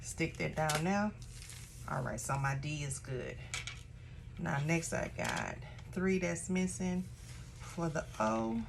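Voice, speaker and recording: A woman speaks at a very slow pace with long, frequent pauses in a room with audible echo. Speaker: craft tutorial creator, small shop owner. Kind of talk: tutorial. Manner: casual, chatty; lowered, relaxed voice.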